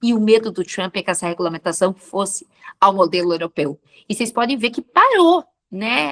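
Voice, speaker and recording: An unremarkable speaking voice from a woman at medium pitch, moderate in pace with lively intonation, the sound dry and close with no echo. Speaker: professor. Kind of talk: interview.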